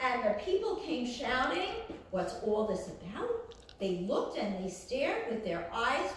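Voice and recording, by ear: A natural voice reading aloud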